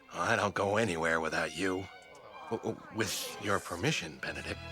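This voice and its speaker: A man's cartoonish character voice at a moderate pace, with clear music in the background. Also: fairly low pitch for a man. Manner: loud, blustery.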